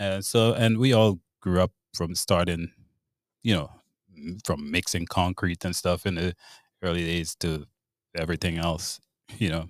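A man with a Grenadian accent speaks at a very deep, low pitch and a moderate pace, with fairly even intonation. The sound is dry and close with no echo, and long pauses come often. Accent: Grenadian Caribbean English. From Grenada. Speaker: bartender and home remodeler. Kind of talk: interview.

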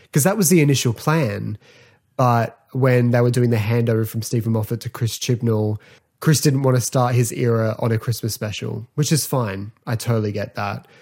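On a very clean recording with a silent background, a man speaks with an Australian accent. His somewhat breathy, medium-pitched voice keeps a moderate pace and ordinary pitch variation. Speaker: podcast host. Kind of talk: casual solo podcast talk.

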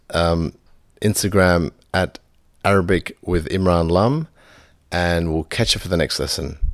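A man with an Australian accent at a very deep, low pitch, fairly slow in pace with ordinary pitch variation, on a very clean recording with a silent background. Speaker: language teacher. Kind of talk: language lesson podcast.

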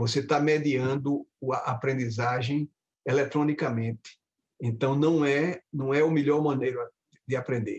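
Somewhat breathy and fairly slow, a man speaks with fairly even intonation and very even loudness, the sound dry and close with no echo. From Brazil, Recife (Pernambuco). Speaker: professor of medical education. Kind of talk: interview conversation.

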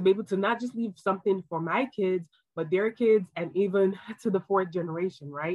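At a moderate pace, a woman talks with ordinary pitch variation. Hers is a normal speaking voice, medium in pitch. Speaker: pharmacist turned financial educator. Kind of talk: online course lesson.

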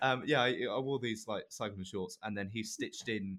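Speaking with an English accent, a man keeps a moderate pace and a medium pitch with lively intonation. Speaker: podcast co-host. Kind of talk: casual chat.

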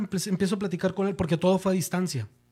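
Very cleanly recorded against a silent background, a man with a northern Mexican accent speaks in a high voice. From northern Mexico, Monterrey. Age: 40s. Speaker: music producer. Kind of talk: casual chat.

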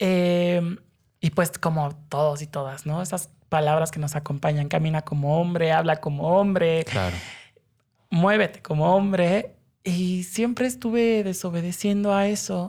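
On a very clean recording with a silent background, a woman speaks at a fairly slow pace with a fairly low pitch, ordinary pitch variation and a dark, mellow tone. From Mexico City, family from Hidalgo. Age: 20s. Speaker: human rights lawyer. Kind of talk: interview. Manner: animated.

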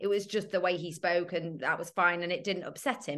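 Here a woman speaks with a British accent. Her pace is moderate. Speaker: author. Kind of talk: casual interview chat. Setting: video call.

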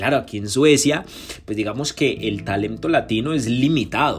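Somewhat breathy and animated, a man talks at a medium pitch with ordinary pitch variation. He moves at a fairly quick pace. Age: 20s. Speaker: podcaster and entrepreneur. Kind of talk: autobiographical monologue.

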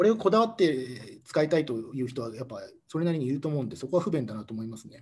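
This man speaks at a very fast pace with a fairly high pitch and very wide pitch swings. His voice is somewhat breathy and swings widely in loudness. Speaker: expatriate company employee. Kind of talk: casual interview chat.

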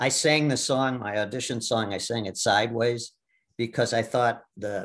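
Here is a man with an American accent, his pitch medium. His intonation stays fairly even. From US Midwest, Milwaukee. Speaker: Broadway actor. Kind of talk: casual interview. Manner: halting.

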